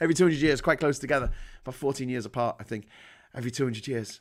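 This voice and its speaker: With a northern English accent and an animated tone, a man talks at a very fast pace on a very clean recording with a silent background. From northern England. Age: 40s. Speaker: livestream host. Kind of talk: casual chat. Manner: halting.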